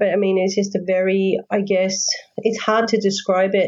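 A woman with an Australian accent talks at a moderate pace in a medium pitch. Her intonation stays monotone and flat. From Sydney, Australia. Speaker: author. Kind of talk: interview.

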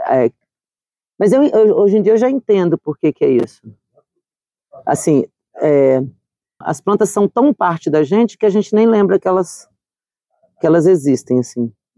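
A woman's dark, mellow voice at medium pitch and moderate pace, with very wide pitch swings, long, frequent pauses and a dry, close sound with no echo. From Espírito Santo, Brazil (Colatina). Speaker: botanist. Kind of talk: interview.

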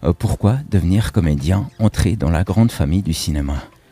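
In a dry, close recording with no echo, a man with a dark, mellow tone speaks at a moderate pace, his pitch swinging very widely. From Switzerland. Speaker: radio co-host. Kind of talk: radio talk show.

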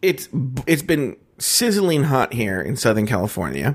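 Speaking at a very slow pace, a man uses a fairly high pitch with very wide pitch swings and vocal fry. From Mexican-American. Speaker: podcast co-host. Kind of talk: casual chat. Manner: smacks lips often.

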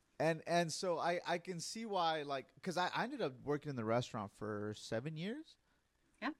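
Moderate pace, an animated tone and lively intonation, with an American accent. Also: man. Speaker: podcast host. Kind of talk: interview.

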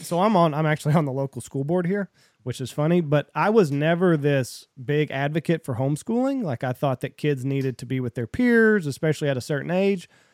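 A man with a Southern US accent, fairly high pitch and lively intonation, fairly quick pace with hardly any pauses, dry, close sound with no echo, very clean recording with a silent background. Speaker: podcast host. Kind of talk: casual chat.

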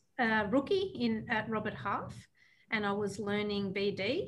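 Audible room echo carries a woman's fairly high voice with ordinary pitch variation. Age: 30s. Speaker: recruitment company CEO. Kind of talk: casual chat.

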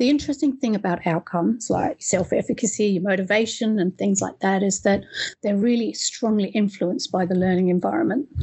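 A woman's medium-pitched, somewhat breathy voice at a fairly quick pace, with ordinary pitch variation and very even loudness. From East Africa, then Australia from high school. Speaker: education professor and researcher. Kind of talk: interview.

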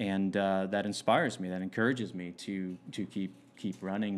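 A man speaks at a moderate pace with a fairly low pitch. He has an ordinary speaking voice. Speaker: pastor. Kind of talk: casual podcast interview.

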